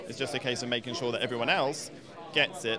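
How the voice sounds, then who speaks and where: Amid noticeable background noise, a man talks at a very fast pace with fairly even intonation in a dry sound with no echo. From England. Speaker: film producer. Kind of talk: interview. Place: hall. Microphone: handheld.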